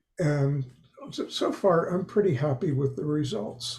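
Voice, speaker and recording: His pitch rises and falls in a typical way. The man has a dark, mellow voice with a somewhat breathy quality. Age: 70s. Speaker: panel guest. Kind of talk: casual chat. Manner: halting.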